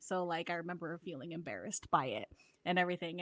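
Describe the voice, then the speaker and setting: With an American accent, a woman speaks at a fairly low pitch in a bright, sharp tone, in a very clean recording with a silent background. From US, Filipino immigrant family. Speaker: podcast guest. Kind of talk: casual chat.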